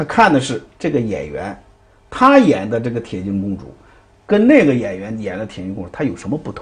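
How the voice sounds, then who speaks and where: The voice is somewhat breathy and moves at a fairly quick pace. Its loudness swings widely. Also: man, medium pitch for a man. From Dalian, northeast China. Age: 50s. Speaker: Peking opera performer and theatre director. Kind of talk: interview. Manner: hesitant, many fillers.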